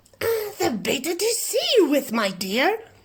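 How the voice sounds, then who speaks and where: This put-on character voice is squeaky and croaky, pitched extremely high and delivered at a moderate pace. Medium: read story. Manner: crafty and false-sweet.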